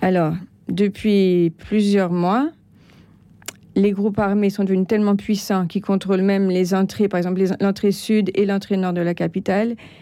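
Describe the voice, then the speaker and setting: In a dark, mellow tone, a woman talks at a moderate pace with monotone, flat intonation and very even loudness. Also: medium pitch for a woman. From France. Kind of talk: interview. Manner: halting.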